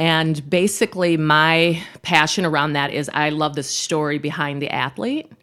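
A woman with an American accent speaks at a very deep, low pitch, with fairly even intonation and hardly any pauses. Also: moderate pace. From Minnesota, South Minneapolis. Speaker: sports broadcaster. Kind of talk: casual chat.

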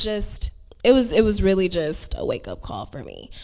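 A woman speaks with an American accent. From Houston, Texas. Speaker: audience member. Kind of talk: personal testimony and question.

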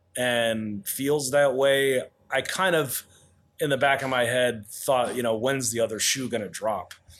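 A man with a plain, everyday voice speaks at a fairly slow pace and medium pitch, with ordinary pitch variation. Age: 40s. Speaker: chef and pizzeria owner. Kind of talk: interview.

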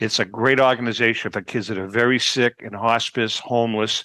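A man with a Boston accent, medium-pitched and monotone, with a bright, sharp tone at a moderate pace, in a dry, close sound with no echo. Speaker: podcast host. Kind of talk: casual chat.

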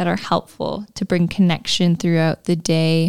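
A woman has a normal speaking voice with a fairly low pitch, talking at a fairly slow pace. The sound is dry and close with no echo. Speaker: podcast host. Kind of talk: casual chat. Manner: warm, friendly, laughs often.

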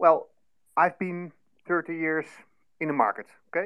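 A man with a non-native accent speaks at a moderate pace. His voice is high in pitch. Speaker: listener participant. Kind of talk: casual discussion. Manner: halting.

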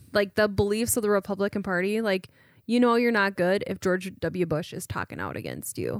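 A woman with an unremarkable speaking voice talks at a fairly quick pace, medium in pitch with fairly even intonation, in a dry, close sound with no echo. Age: 30s. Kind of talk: casual chat.

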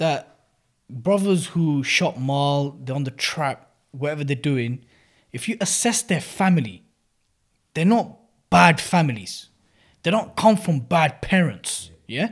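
A man with a London accent speaks at a fairly slow pace, leaving long, frequent pauses. His fairly high, somewhat breathy voice makes very wide pitch swings, in a very clean recording with a silent background. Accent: British urban, London. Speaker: podcast host. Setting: sharing a mic with co-host.

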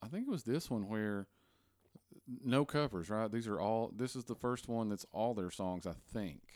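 A man with a Southern US accent speaks on a very clean recording with a silent background. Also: medium pitch for a man, ordinary pitch variation, moderate pace. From US South, Tennessee. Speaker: podcast host. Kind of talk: casual chat.

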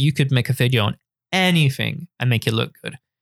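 A man with a London accent, medium in pitch and fairly quick in pace, on a very clean recording with a silent background. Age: 20s. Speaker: photographer and YouTuber. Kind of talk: casual chat.

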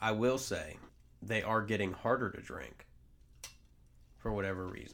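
Vocal fry runs through this man's speech, which keeps a fairly even intonation. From US South. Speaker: co-host's husband. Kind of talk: casual chat. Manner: monotone.

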